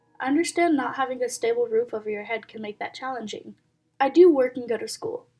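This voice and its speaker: A woman talks at a very fast pace in a high voice, with music playing in the background. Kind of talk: reading reddit posts with commentary. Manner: casual, conversational.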